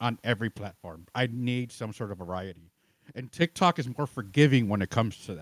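A man with an American accent and an ordinary speaking voice, medium pitch, lively intonation, big swings in loudness, a fairly quick pace, and a dry, close sound with no echo. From US Midwest. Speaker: streamer and content creator. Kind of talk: casual chat.

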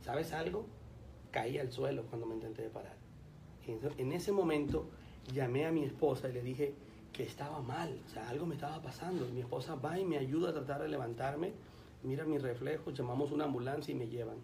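A man talks at a fairly quick pace and a fairly high pitch, with audible room echo and noticeable background noise around him. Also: ordinary pitch variation. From Colombia. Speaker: pastor. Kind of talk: radio interview.

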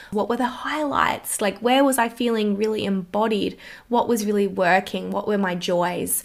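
An Australian-accented woman speaks at a moderate pace and medium pitch. Her tone is animated and her loudness very even. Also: ordinary pitch variation. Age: 20s. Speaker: wellness podcast host. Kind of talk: solo podcast monologue.

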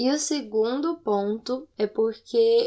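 A woman with a Goiás accent and a fairly high pitch. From Goiânia, Brazil. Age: 20s. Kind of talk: personal testimony. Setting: home recording late at night.

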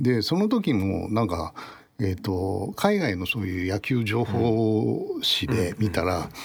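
Speaking very slowly, a man uses a fairly low pitch and ordinary pitch variation. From Tokyo. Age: 60s. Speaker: baseball design researcher. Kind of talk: casual chat.

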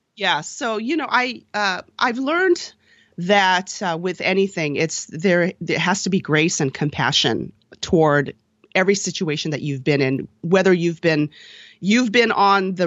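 With a normal speaking voice and lively intonation, a woman speaks at a moderate pace in a fairly low register. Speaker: dancer and podcaster. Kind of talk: casual interview chat.

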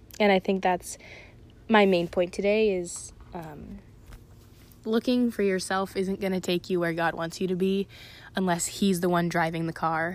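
A woman talks at a moderate pace. Her speech has long, frequent pauses. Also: medium pitch for a woman, fairly even intonation. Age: young. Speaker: college student giving a devotional. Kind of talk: devotional talk. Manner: hesitant, many filler words.

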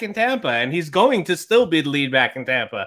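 A man with a New York accent, very wide pitch swings, and a fairly quick pace. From New York, Long Island. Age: 30s. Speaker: fantasy football writer and podcaster. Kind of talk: casual interview chat.

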